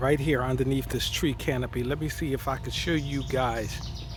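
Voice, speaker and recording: Noticeable background noise and audible room echo fill the recording. Through it, a man talks at a moderate speed. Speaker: vlogger and broadcaster. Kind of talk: casual vlog monologue. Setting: outdoors in a garden. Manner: halting, with hesitations.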